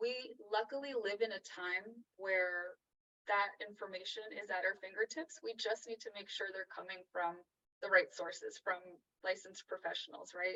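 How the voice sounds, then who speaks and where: A woman speaks in a Californian accent, soft-spoken and at medium pitch. Her pace is moderate, with ordinary pitch variation. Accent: Californian American. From Los Angeles. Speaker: psychotherapist and author. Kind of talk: interview answer. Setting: video call. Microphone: echo, poor sound.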